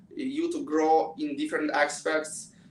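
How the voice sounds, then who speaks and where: At a fairly slow pace, a man speaks with a Russian accent. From Russia, Moscow. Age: 20s. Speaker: pianist and student. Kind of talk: interview. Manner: halting.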